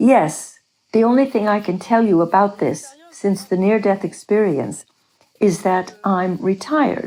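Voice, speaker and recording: A woman in an unremarkable speaking voice talks at a fairly slow pace and medium pitch, with very even loudness and ordinary pitch variation. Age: 60s. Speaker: near-death experiencer, retiree. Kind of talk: interview testimony.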